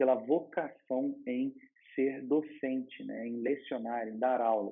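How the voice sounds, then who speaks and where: Talking at a fairly slow pace, a man with a Rio de Janeiro accent uses a fairly high pitch. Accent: carioca. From Rio de Janeiro, Brazil. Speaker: law master's student, vlogger. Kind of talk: advice vlog. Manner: casual, with hesitations and repetitions.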